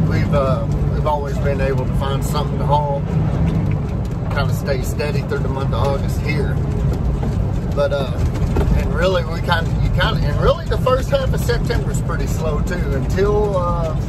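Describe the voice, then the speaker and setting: Over loud background noise, a man talks at a moderate pace with long, frequent pauses, and the sound is dry with no echo. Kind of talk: casual vlog chat. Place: car. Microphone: camera far.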